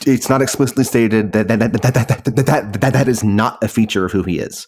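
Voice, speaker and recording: A man with an American accent talks at a very fast pace in a medium pitch. His intonation is fairly even, with noticeable background noise. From New York City. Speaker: speech-language pathologist. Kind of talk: podcast interview answer.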